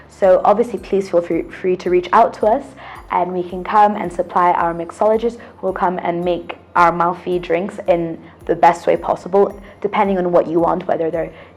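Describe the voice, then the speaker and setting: Over music in the background, a woman with a British accent speaks at a moderate pace in a medium pitch with fairly even intonation. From UK. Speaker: drinks brand ambassador. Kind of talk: interview.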